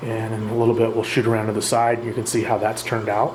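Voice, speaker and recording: Noticeable background noise and audible room echo surround a man's voice. He talks at a moderate pace and a medium pitch. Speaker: reef aquarium hobbyist video host. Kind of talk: casual narrated tank tour. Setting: at home beside the tank, night. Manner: stumbling, stuttering through words; rambling, hesitant with many uhs.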